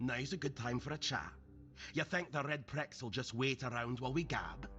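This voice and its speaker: A man puts on a gruff character voice at a medium pitch and moderate pace. Clear music plays in the background. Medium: video game. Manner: gruff, profane, brusque; nervous, hurried.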